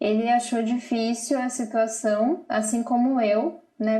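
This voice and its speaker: With a dark, mellow tone, a woman speaks in a fairly high pitch with fairly even intonation. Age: 30s. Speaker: mother with bipolar disorder, channel owner. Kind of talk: live TV interview.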